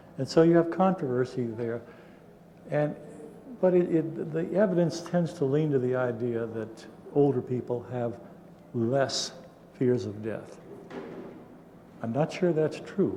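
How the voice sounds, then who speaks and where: A man talks at a fairly high pitch, leaving long, frequent pauses. Audible room echo and noticeable background noise surround him. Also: ordinary pitch variation, fairly slow pace. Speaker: psychology professor. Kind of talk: conference talk. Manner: halting.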